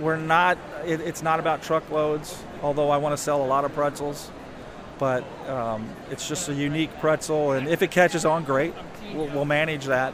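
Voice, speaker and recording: At a moderate pace, a man with an American accent speaks in a fairly high, monotone, flat voice amid noticeable background noise. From southern Indiana. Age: 50s. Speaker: pretzel company owner. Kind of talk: interview.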